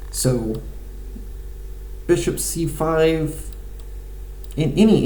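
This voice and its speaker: A man speaks in a space with audible room echo while noticeable background noise runs underneath. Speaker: amateur chess player. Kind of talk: live game commentary. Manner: halting, many fillers.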